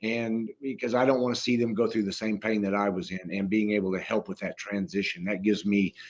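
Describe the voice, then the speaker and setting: Talking at a fairly quick pace with hardly any pauses, a man with an unremarkable speaking voice keeps a fairly low pitch and fairly even intonation. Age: 60s. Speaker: retired firefighter. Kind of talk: casual chat.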